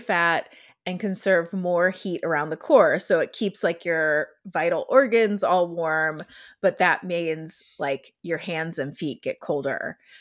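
A woman talks slowly-ish, at a fairly slow pace, using a fairly low pitch with ordinary pitch variation. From Ohio. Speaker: podcast co-host. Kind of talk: casual chat.

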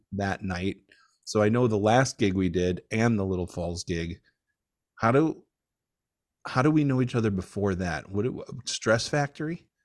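This man has an unremarkable speaking voice, fairly low in pitch, with lively intonation. He goes at a fairly slow pace, and the recording is dry and close with no echo. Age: 50s. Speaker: stand-up comedian. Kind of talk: casual chat.

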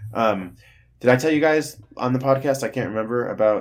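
A man uses an ordinary speaking voice, moving fairly quickly with ordinary pitch variation. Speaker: podcast host. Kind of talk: casual banter podcast.

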